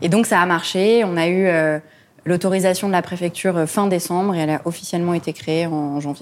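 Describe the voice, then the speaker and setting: Fairly low-pitched and fairly quick, a woman speaks in an unremarkable speaking voice with fairly even intonation. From Lebanon. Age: 20s. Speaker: charity founder. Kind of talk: interview.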